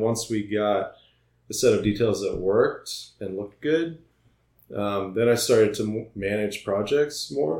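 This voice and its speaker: A man's normal speaking voice with an American accent, fairly low in pitch, at a fairly slow pace with ordinary pitch variation. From US Midwest (Iowa). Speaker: architect. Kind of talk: casual interview.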